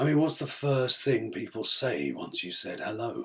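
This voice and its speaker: A man uses a raspy put-on character voice. He goes at a moderate pace with big swings in loudness. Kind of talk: theatrical monologue. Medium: solo performance. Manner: candid, reflective monologue.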